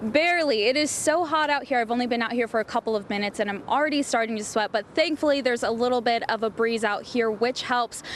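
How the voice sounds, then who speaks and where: A woman with a high pitch speaks at a very fast pace with hardly any pauses, very even loudness and ordinary pitch variation. Noticeable background noise is present. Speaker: TV news reporter. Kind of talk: TV news reporter live shot and package.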